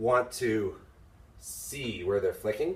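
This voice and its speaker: A man at a medium pitch speaks at a fairly slow pace, his lively intonation edged with vocal fry. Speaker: fencing instructor. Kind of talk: unscripted tutorial talk to camera. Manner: rambling, hesitant.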